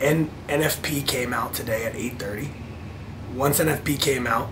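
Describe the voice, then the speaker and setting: A man speaks at a fairly slow pace and a medium pitch. Audible room echo and noticeable background noise surround him. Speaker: vlogger and futures trader. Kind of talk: casual vlog. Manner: animated.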